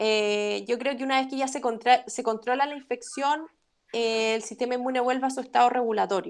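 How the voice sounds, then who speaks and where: With a Chilean accent, a woman speaks at a fairly quick pace in a high pitch, using ordinary pitch variation. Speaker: immunology lecturer. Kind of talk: academic webinar Q&A. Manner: fast.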